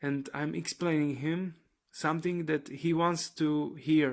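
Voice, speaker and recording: On a very clean recording with a silent background, a man speaks at a fairly slow pace with monotone, flat intonation and a non-native accent. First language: not English. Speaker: aspiring graphic novel creator. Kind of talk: personal vlog monologue. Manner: relaxed, casual; halting, many fillers.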